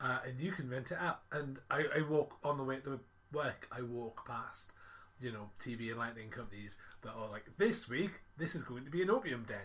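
This man has an unremarkable speaking voice at a medium pitch, with lively intonation and a moderate pace. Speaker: podcast host. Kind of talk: casual chat. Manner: chatty, jokey.

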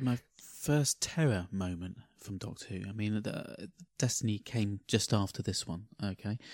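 An English accent at a fairly slow pace, with ordinary pitch variation. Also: man, fairly low pitch for a man. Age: 40s. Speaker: podcast co-host. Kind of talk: casual chat.

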